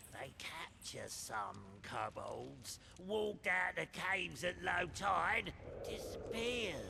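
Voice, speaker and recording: In a put-on character voice, someone speaks at a fairly slow pace over clear background noise. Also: man. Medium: video game. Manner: broken grammar, blunt, threatening.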